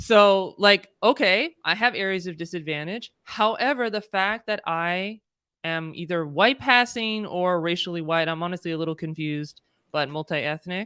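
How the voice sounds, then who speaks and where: Bright and sharp in tone, a woman speaks with a Californian accent at medium pitch, moderate pace and ordinary pitch variation. The recording is very clean and dry, close with no echo, over a silent background. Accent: Californian American. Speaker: DEI consultant. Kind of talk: interview conversation. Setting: live stream.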